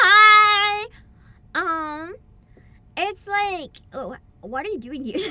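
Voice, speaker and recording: A woman shouting at an extremely high pitch, very slowly, with lively intonation, big swings in loudness, and long, frequent pauses. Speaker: gaming streamer. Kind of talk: live stream commentary. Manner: loud, yelling; quieter than usual.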